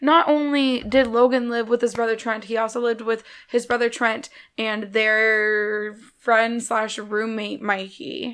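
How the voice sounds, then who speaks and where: An ordinary speaking voice talks at a fairly slow pace with fairly even intonation. The recording is very clean, with a silent background. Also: woman, fairly high pitch for a woman. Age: 20s. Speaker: podcast co-host. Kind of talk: casual chat.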